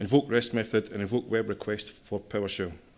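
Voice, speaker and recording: Fairly quick speech with a Scottish accent. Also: man. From Scotland. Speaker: systems engineer, conference speaker. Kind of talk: technical conference talk.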